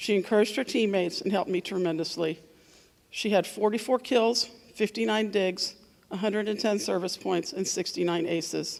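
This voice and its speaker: A woman's medium-pitched voice moves at a fairly quick pace with ordinary pitch variation. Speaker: volleyball coach. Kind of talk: awards speech. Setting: school assembly. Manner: soft-spoken.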